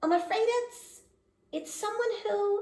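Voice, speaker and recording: A woman does a squeaky put-on character voice at an extremely high pitch. She talks fairly slowly, with a slight echo. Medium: read story. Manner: brief, plainspoken.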